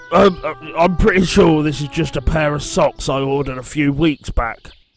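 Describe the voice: A man performs a raspy, cartoonish character voice with a fairly high pitch at a moderate pace. Faint music plays in the background.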